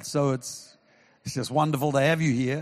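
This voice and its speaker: A man with a New Zealand accent, talking at a fairly quick pace. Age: 70s. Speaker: pastor. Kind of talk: sermon. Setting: church with live audience. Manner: animated.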